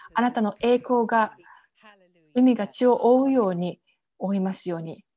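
A woman speaks at a moderate pace with fairly even intonation. Her pitch is fairly high. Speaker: prayer leader. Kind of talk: fervent intercessory prayer. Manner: earnest, impassioned, declaring with conviction.

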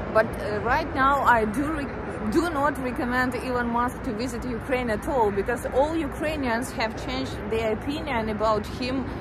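Over music in the background, a woman speaks at a fairly slow pace with ordinary pitch variation, the sound dry with no echo. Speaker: travel vlogger. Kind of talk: casual vlog chat. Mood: chatty, slightly mocking. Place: street. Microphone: phone near.

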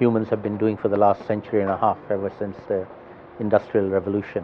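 A man talks with a fairly low pitch. Light background noise sits behind him. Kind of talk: interview answer. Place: bar.

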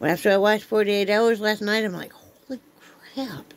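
At a moderate pace, a woman is talking. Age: 50s. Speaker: vlogger. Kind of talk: casual chat. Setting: home. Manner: animated. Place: home room. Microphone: phone near.

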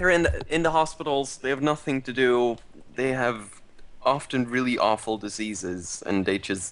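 A man is talking at a moderate pace. His intonation is lively. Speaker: charity stream host. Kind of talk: casual live-stream chat. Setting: live stream. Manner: playful. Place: home room.

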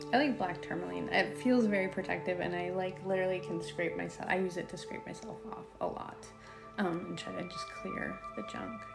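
At a fairly quick pace, a woman speaks while clear music runs in the background. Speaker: spiritual content creator. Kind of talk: casual vlog chat. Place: home room.

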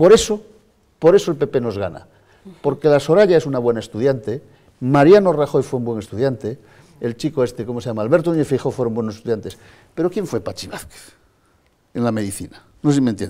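Talking at a very fast pace with long, frequent pauses, a man uses a dark, mellow tone, a medium pitch and lively intonation. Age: 50s. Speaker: politician and pediatrician; politician. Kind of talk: TV interview. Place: studio.

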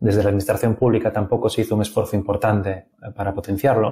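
In a very clean recording with a silent background, a man speaks at a fairly low pitch with a dark, mellow tone, somewhat breathy and with fairly even intonation. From Asturias, Spain. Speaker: software developer. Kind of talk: interview.

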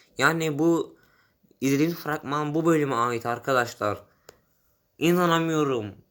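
A man at a fairly high pitch with ordinary pitch variation and long, frequent pauses, on a very clean recording with a silent background. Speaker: fan channel vlogger. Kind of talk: casual vlog monologue. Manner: fast; animated.

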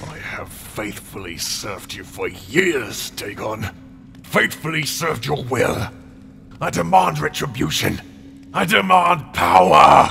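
A man speaks at a medium pitch and a fairly slow pace, his pitch swinging very widely, with clear music in the background. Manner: demanding, fanatical, grasping.

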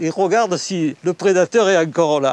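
Dry sound with no echo and ordinary pitch variation. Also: man. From La Ciotat, Provence, France; Provence, France. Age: 70s. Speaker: veteran champion spearfisher. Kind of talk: interview recollection. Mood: warm, enthusiastic reminiscing. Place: waterside. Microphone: lapel.

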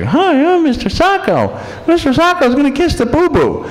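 The voice is a high-pitched, put-on character voice. Its pace is moderate. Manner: bad ventriloquist puppet voice.

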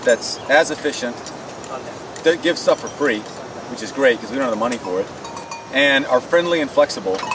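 A man's fairly high-pitched voice comes through with noticeable background noise. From Thailand. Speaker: relief team leader. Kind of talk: casual address to camera.

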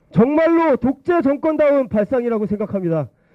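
Very wide pitch swings mark this man's speech. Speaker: youth political activist. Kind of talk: protest speech. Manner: impassioned.

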